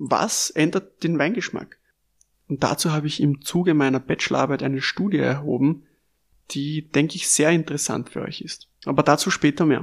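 A man with an Austrian accent speaks at a fairly high pitch and a moderate pace, keeping his intonation fairly even. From Lower Austria, Melk district. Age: 20s. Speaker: sommelier and podcast host. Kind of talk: scripted podcast introduction.

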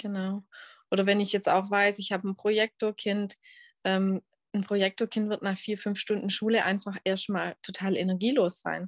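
In a dry, close recording with no echo and a quiet background, a woman speaks at a moderate pace and medium pitch. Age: 30s. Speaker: human design coach. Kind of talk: interview. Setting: video call.

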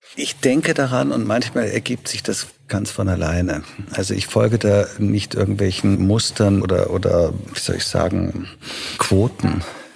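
Fairly slow, fairly low-pitched male speech over noticeable background noise. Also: ordinary pitch variation. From Germany, then Vienna from age 13. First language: Italian (speaking German). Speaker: festival director and pianist. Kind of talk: interview.

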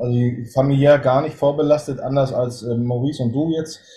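Somewhat breathy, this dark, mellow voice keeps a fairly even intonation. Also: man. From northern Germany. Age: 40s. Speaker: hunting filmmaker and police officer. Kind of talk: interview. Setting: video call.

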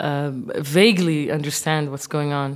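A woman with an Arabic accent speaks at a very deep, low pitch. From Kuwait. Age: 30s. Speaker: visual artist. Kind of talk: interview.

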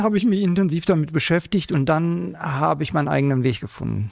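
A man is talking. He goes at a fairly quick pace with lively intonation. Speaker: school psychologist. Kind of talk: interview.

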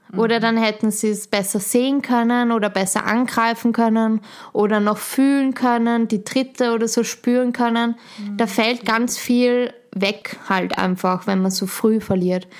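With a Viennese accent, a woman speaks at a fairly slow pace in a fairly high pitch, her intonation monotone and flat. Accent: Austrian German (Vienna area). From Austria, Schwechat near Vienna. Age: young. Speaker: midwife. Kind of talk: interview.

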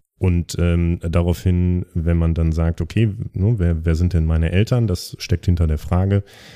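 A man speaks at a fairly slow pace in a very deep, low voice with a dark, mellow tone, fairly even intonation and very even loudness. The recording is very clean and silent in the background, with a dry, close sound and no echo. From East Westphalia, Germany. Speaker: podcast co-host. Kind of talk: casual chat.

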